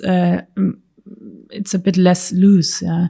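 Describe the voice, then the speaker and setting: A soft-spoken voice with a German accent comes through somewhat breathy, in a dark, mellow tone. The intonation is monotone and flat. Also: woman. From Germany, Stuttgart area. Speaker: car designer. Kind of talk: interview answer.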